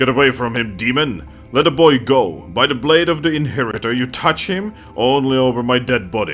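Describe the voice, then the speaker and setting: Over clear background music, a man puts on a booming character voice at a medium pitch, with lively intonation and a moderate pace. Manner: commanding, defiant.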